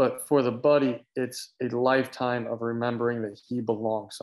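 Over a quiet background, a man with an American accent talks with fairly even intonation. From Florida, US. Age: 20s. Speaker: cycling team founder and racer. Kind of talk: casual chat. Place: home room. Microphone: video call.

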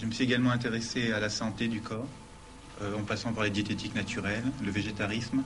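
Very fast and monotone, a man talks with flat intonation at a medium pitch. The room echo is audible, and there is noticeable background noise. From Nice, France. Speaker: student. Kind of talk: testimony.

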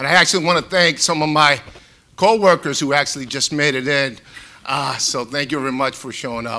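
With a Boston accent, a man talks at a fairly quick pace in a bright, sharp tone with ordinary pitch variation. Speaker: retired FBI agent, home seller; home seller. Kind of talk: panel discussion. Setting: stage with audience, live-streamed. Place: hall. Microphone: lapel.

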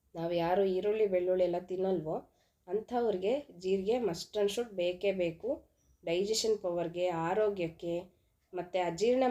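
A woman speaks with a medium-pitched, dark, mellow voice and fairly even intonation. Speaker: cooking vlogger. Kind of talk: cooking tutorial.

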